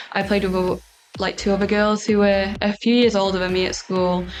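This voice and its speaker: With a Manx accent, a woman speaks at a medium pitch in a flat, monotone way while music plays in the background. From Isle of Man (Peel). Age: 20s. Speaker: professional golfer. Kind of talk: interview answers.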